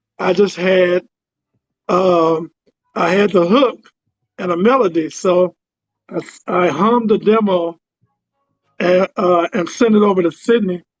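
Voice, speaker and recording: With music in the background, a man with a high pitch speaks at a fairly slow pace, using ordinary pitch variation and long, frequent pauses. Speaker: musician and producer. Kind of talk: interview. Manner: hesitant, many fillers.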